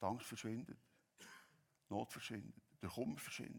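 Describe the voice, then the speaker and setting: A man talks at a moderate pace with a Swiss accent. Vocal fry runs through his voice. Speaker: pastor. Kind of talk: sermon.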